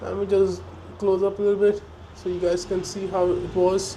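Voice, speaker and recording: With audible room echo and noticeable background noise, a man speaks at a high pitch. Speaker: travel vlogger. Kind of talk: walking tour vlog narration. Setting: indoors in a museum. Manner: hesitant, many fillers.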